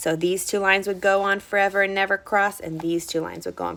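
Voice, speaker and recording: A woman speaks at a very fast pace. Her tone is animated. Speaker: first grade teacher. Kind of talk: online lesson for young children.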